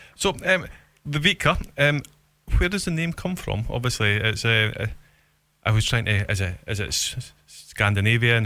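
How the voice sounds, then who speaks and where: In a Scottish accent, a man speaks at a moderate pace and medium pitch with a bright, sharp tone and lively intonation. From Scotland. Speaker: radio host. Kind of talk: radio interview. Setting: radio studio.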